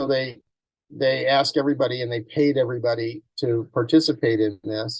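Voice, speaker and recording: A somewhat breathy man's voice at medium pitch, with fairly even intonation and a moderate pace. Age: 70s. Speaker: ecologist and former journalist. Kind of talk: online talk to course participants. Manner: halting, with frequent repetitions and restarts.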